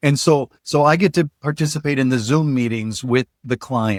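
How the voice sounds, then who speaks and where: In an American accent, a man with an unremarkable speaking voice talks at a moderate pace with ordinary pitch variation. The sound is dry and close with no echo, on a very clean recording with a silent background. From northern Minnesota. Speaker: trainer. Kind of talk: podcast interview.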